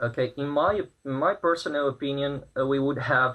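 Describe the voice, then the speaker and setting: This man has a Brazilian Portuguese accent and a medium pitch. He talks at a moderate pace with fairly even intonation. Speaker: protester. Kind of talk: news interview. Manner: halting, many fillers.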